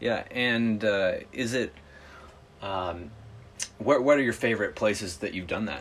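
Against noticeable background noise, a man with an American accent speaks at a medium pitch and a fairly slow pace. His pitch varies in an ordinary way, with long, frequent pauses. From US Midwest. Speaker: travel podcast host. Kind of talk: casual round table chat; scripted podcast outro.

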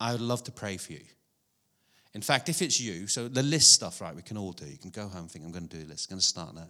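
Against a silent background in a very clean recording, a man talks at a very fast pace in a fairly low, bright and sharp voice, with lively intonation and big swings in loudness. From Ireland. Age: 50s. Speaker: prayer movement director, speaker. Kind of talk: sermon. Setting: church with audience. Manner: humorous, chatty.

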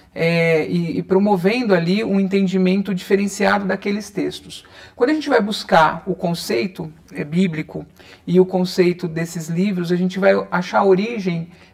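Noticeable background noise sits behind the speaker. He is a man with a high-pitched voice. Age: 30s. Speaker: holistic therapist and reiki teacher. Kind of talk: interview.

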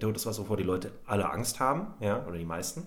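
There is audible room echo around a man whose fairly low voice shows ordinary pitch variation. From Berlin, Germany. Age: 30s. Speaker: comedy podcast host. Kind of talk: casual chat.

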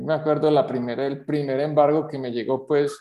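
Fairly even intonation runs through a voice with a dark, mellow tone. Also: man. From Colombia, Manizales. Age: 50s. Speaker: entrepreneur. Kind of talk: interview testimony.

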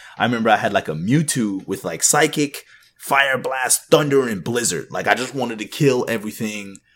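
With music in the background, a man speaks fairly quickly with lively intonation at medium pitch. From Canada, Jamaican parents; raised in Texas. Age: 20s. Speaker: podcast guest, parent gamer. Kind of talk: casual chat.

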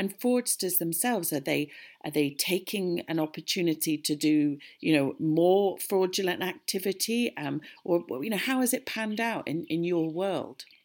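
Speaking with a British accent at a fairly slow pace, a woman uses lively intonation in a fairly low pitch. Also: very clean recording, silent background. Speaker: podcast host. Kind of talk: interview.

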